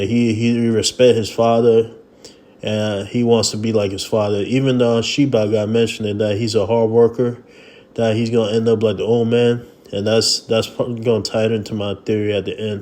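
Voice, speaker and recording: A man at a medium pitch and moderate pace, with monotone, flat intonation. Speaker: manga and webtoon reviewer. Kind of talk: casual talk to camera. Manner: casual, hesitant with fillers.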